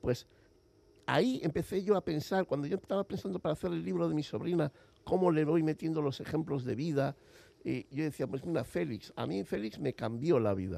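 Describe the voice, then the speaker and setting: The voice has a dark, mellow tone and moves through very wide pitch swings. Its pace is fairly quick. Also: man, fairly high pitch for a man. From Basque Country, Spain (Villabona, Gipuzkoa). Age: 50s. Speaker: writer and publisher. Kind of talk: interview. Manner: halting.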